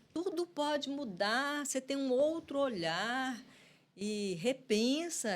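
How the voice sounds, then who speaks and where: A woman speaks very slowly in a high voice with lively intonation. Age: 60s. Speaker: guest who emigrated after 50. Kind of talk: casual interview chat.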